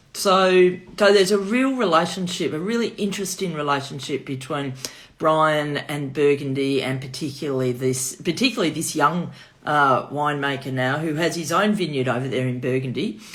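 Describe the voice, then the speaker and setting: With a Melbourne accent, a woman talks at a moderate pace in a very deep, low voice. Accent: Melbourne Australian. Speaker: wine shop owner. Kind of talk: virtual wine tasting.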